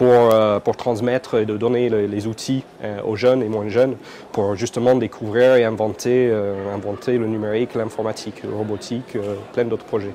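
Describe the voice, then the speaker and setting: At a moderate pace and in a monotone, flat intonation, someone speaks with an Irish accent over noticeable background noise. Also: man, medium pitch for a man. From Ireland, Dublin. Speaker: computing education entrepreneur. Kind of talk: interview. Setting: conference. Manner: hesitant, many fillers and repetitions.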